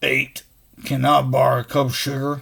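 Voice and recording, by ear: A man in a put-on character voice, medium in pitch and flat and monotone. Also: moderate pace.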